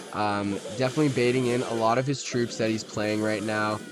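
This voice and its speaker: A man speaks over noticeable background noise. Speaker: gaming YouTuber. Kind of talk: live gameplay commentary. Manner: animated.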